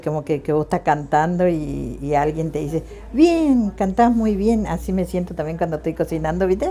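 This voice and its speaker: Ordinary rises and falls in pitch over a dark, mellow tone. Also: woman. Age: 60s. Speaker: home cook and market vendor. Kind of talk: casual interview talk.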